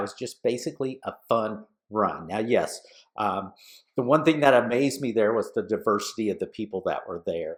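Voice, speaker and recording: A man speaks at a moderate pace in a medium pitch with an enthusiastic tone and ordinary pitch variation. The recording is very clean with a silent background. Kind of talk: podcast monologue. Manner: casual, enthusiastic.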